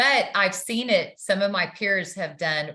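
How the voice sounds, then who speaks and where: With lively intonation, a woman speaks in a bright, sharp tone. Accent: slight Texan. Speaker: nurse practitioner. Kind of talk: interview. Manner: hesitant, many fillers.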